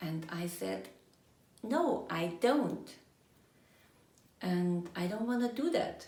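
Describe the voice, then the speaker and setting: Speaking with a German accent, a woman has a dark, mellow tone and lively intonation. She talks very slowly, with long, frequent pauses, and room echo is audible. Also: fairly low pitch for a woman. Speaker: energy coach. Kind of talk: personal storytelling monologue.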